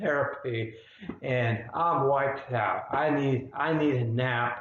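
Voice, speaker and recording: This man's voice is medium in pitch with ordinary pitch variation, and he speaks at a very slow pace. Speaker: psychotherapist living with spasmodic dysphonia. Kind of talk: personal explainer video. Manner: halting, effortful.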